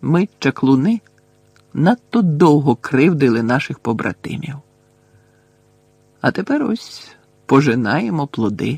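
Using a put-on character voice, a man speaks quietly at a fairly slow pace with long, frequent pauses, vocal fry, a slightly husky edge, and big pitch swings. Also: medium pitch for a man, dry, close sound with no echo.

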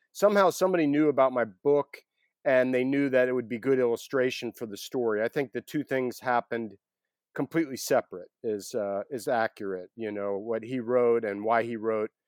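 A man at medium pitch, with an ordinary speaking voice and ordinary pitch variation, comes through dry and close with no echo on a very clean recording against a silent background. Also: fairly quick pace. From US South, Atlanta, Georgia. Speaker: author and photographer. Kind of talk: interview.

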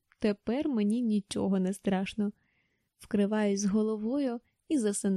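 An unforced reading voice carries the clip. The background is quiet.

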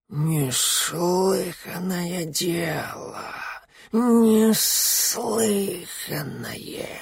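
At a very slow pace, a raspy put-on character voice speaks at a middle pitch. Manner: hissing.

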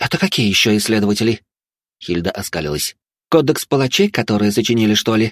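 Plain reading aloud, the background quiet

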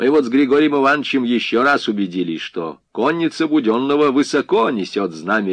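It is an unforced reading voice, delivered with lively intonation.

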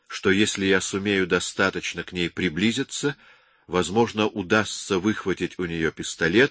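An unforced reading voice, intonation kept fairly even

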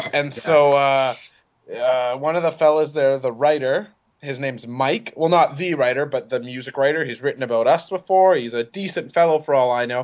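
The pace here is moderate. It is an ordinary speaking voice whose pitch varies in an ordinary way. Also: man, fairly high pitch for a man. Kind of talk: casual banter podcast.

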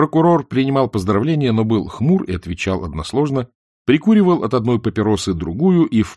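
Someone reads aloud in a natural voice. Behind it, the background is quiet.

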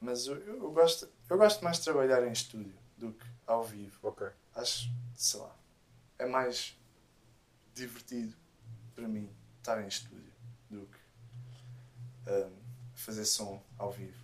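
A man speaks at a very slow pace, with long, frequent pauses. His loudness swings widely. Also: medium pitch for a man, ordinary pitch variation. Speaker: musician and sound engineer. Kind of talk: casual chat.

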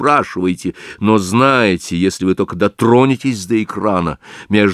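What we hear is plain reading aloud.

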